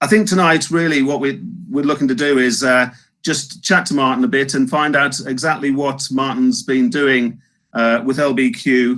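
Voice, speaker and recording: A man with a Northeast England accent speaks at a fairly high pitch and a moderate pace. His intonation is lively. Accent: Northeast England, slips back in. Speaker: webinar host. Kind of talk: live webinar interview. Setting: live webinar.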